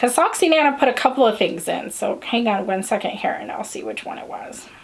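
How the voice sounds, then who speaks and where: Over noticeable background noise, a woman with an American accent talks at a fairly quick pace and high pitch. Her pitch swings very widely and her loudness shifts a lot. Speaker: knitting podcast host. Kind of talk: casual chat. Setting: home, filming on a tripod.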